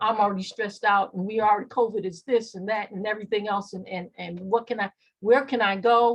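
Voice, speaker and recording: A somewhat breathy woman talks at a fairly quick pace. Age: 60s. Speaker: mental health clinician. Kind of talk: workshop presentation. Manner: halting.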